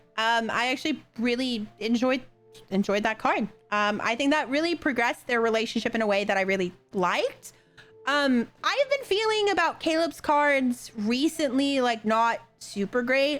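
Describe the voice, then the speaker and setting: Over background music, the speaker sounds animated, with lively intonation, very even loudness and a moderate pace. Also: woman, high pitch for a woman. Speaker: gaming content creator. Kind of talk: casual game commentary.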